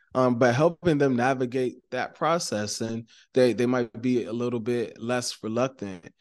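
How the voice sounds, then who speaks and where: With an American accent, a man speaks in a plain, everyday voice at medium pitch with fairly even intonation against a quiet background. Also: moderate pace. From Maryland, US. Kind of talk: casual interview conversation.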